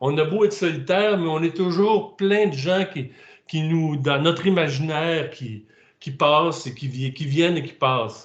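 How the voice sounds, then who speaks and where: Speaking at a fairly slow pace, a man with a Quebec accent has a fairly high pitch and ordinary pitch variation. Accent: Québécois, singsong. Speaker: author. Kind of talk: interview. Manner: halting.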